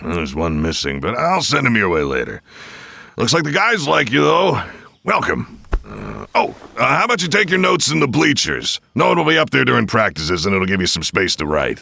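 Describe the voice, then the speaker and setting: A man's put-on character voice, fairly low in pitch and fairly quick in pace. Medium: audio drama. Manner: hearty, chuckling.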